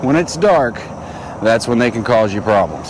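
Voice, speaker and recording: Through audible room echo and noticeable background noise, a man speaks at medium pitch with lively intonation. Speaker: fishing YouTuber. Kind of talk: outdoor fishing vlog.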